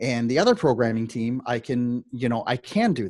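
A man talks with an unremarkable speaking voice at medium pitch. His pitch varies in an ordinary way against a quiet background. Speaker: digital nomad business owner. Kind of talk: casual interview chat. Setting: podcast interview with a dynamic microphone. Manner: conversational, many filler words.

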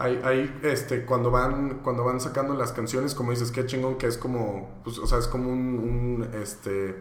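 A man speaks at a moderate pace and medium pitch in monotone, flat intonation. Audible room echo and noticeable background noise surround him. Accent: Mexican. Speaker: podcast host. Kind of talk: casual interview.

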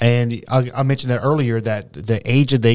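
On a very clean recording with a silent background, a man uses an ordinary speaking voice at medium pitch and a moderate pace. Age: 40s. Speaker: podcast co-host. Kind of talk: casual chat.

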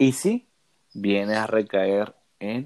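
A man with a fairly low voice is heard in a dry, close sound without echo. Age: 20s. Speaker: seminarian. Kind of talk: religious discussion.

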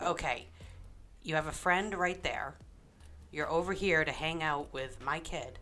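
Long, frequent pauses break up this woman's fairly slow delivery, and her fairly low-pitched voice has a bright, sharp tone. Her pitch variation is ordinary, and audible room echo surrounds her. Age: 30s. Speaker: podcast co-host. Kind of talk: casual chat. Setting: home dining room.

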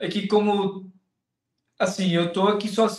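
A man is speaking. His pitch is high. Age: 20s. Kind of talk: interview.

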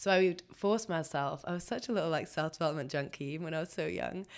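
Over a silent background in a very clean recording, a woman with an English accent talks at a very fast pace in a very deep, low pitch. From England. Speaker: podcast co-host. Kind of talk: casual chat.

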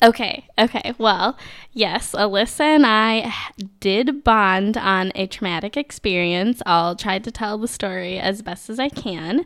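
Speaking slowly, at a fairly slow pace, a woman with a Minnesotan accent uses a fairly high pitch and ordinary pitch variation in a very clean recording with a silent background. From Minnesota, US. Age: 20s. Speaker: accountant. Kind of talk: casual chat.

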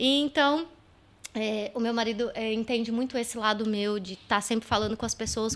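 A woman's high-pitched voice at a fairly quick pace, on a very clean recording with a silent background. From Brazil, São Paulo state (São José dos Campos). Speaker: entrepreneur. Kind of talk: casual chat. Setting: live-streamed podcast studio.

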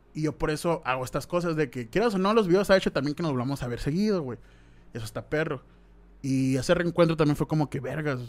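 A man talks very fast in a fairly high voice with ordinary pitch variation. The recording is very clean, with a silent background. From Mexico, Sonora (Hermosillo). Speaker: YouTuber. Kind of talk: casual chat.

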